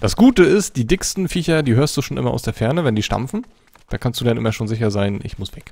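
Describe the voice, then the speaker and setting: Animated and somewhat breathy, a man talks at a very fast pace. His medium-pitched voice has lively intonation. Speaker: gaming video creator. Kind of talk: let's play commentary. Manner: casual, animated.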